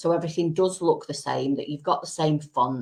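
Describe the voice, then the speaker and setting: A woman is speaking. She has a Manchester accent. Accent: quite a Manchester. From Manchester, England. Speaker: business support company director. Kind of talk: live-stream interview.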